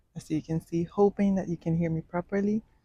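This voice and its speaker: Soft-spoken and somewhat breathy, a woman talks with a dark, mellow tone at a fairly low pitch. The recording is very clean, with a silent background. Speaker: hair and travel vlogger. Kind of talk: tutorial. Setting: hotel room.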